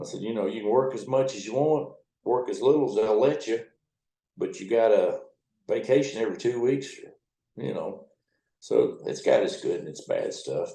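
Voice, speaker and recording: The speech moves at a moderate pace with long, frequent pauses and big swings in loudness. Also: man. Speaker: river towboat captain. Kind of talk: interview answer. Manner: casual, profane storytelling.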